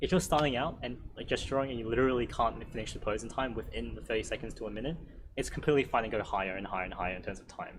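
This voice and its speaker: A man's voice with audible room echo. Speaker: drawing workshop instructor. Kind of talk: workshop Q&A lecture. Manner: fast.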